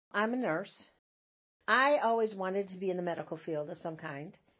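A woman speaks with lively intonation at a medium pitch. She has an ordinary speaking voice. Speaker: retired hospice nurse. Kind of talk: interview.

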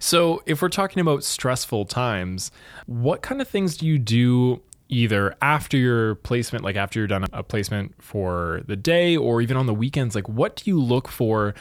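A man with a Canadian accent, an ordinary speaking voice, medium pitch and lively intonation. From Thunder Bay, Canada. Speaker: university recruitment staff, interviewer. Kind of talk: casual interview.

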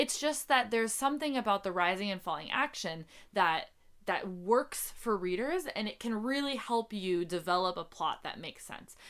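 An American accent at a moderate pace, with lively intonation, on a very clean recording with a silent background. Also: woman, medium pitch for a woman. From North Dakota, US Midwest. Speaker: podcast host, novelist. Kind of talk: casual chat. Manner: halting, many fillers.

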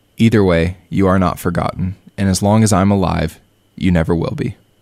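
Here a man speaks with a very deep, low pitch. His pitch variation is ordinary. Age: 30s. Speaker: podcast host. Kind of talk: personal reflective monologue.

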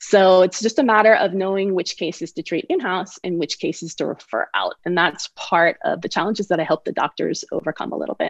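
In an unremarkable speaking voice, a woman talks at a fairly quick pace with hardly any pauses, medium pitch and ordinary pitch variation, the sound dry and close with no echo against a quiet background. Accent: American. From San Francisco Bay Area, US. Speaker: orthodontist and dental consultant. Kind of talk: interview.

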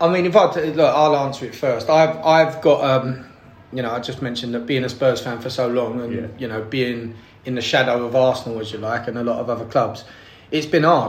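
Through noticeable background noise, a man in a Cockney accent speaks fairly quickly at a medium pitch with fairly even intonation. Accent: London Cockney. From East London, England. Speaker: podcast guest, football fan. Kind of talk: casual chat.

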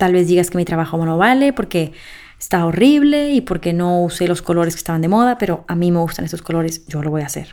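At a fairly quick pace, a woman with a fairly low pitch speaks in an animated tone with lively intonation. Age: 20s. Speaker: podcast host. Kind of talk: solo podcast monologue.

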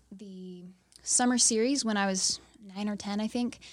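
A woman talks at a fairly slow pace in a medium pitch. She has a normal speaking voice. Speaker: church intern. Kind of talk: interview.

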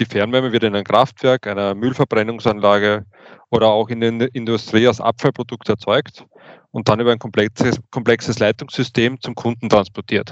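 Monotone, flat intonation marks this man's speech. His pitch sits in the medium range. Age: 40s. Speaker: utility engineer and manager. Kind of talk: interview. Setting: studio.

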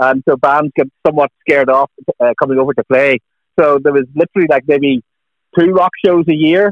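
This man has a Northern Irish accent and a fairly high pitch, talking at a fairly quick pace. His loudness stays very even and his intonation fairly even. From Northern Ireland. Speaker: music author. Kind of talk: radio interview. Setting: phone call.

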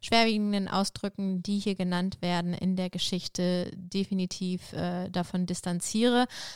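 The voice heard here is a natural reading voice.

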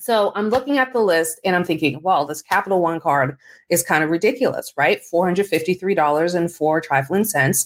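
A woman has a normal speaking voice, fairly low in pitch, with lively intonation. She talks at a moderate pace with hardly any pauses in a very clean recording with a silent background. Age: 40s. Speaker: personal finance podcaster. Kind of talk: casual monologue.

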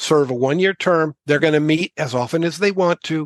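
This man has an ordinary speaking voice, fairly high in pitch with ordinary pitch variation. The sound is dry and close with no echo, over a quiet background. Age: 60s. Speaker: author and activist. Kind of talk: passionate explanation in interview.

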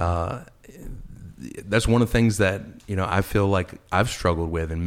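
A man talks fairly quickly, captured on a very clean recording with a silent background. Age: 40s. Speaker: pastor. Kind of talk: interview. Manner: halting.

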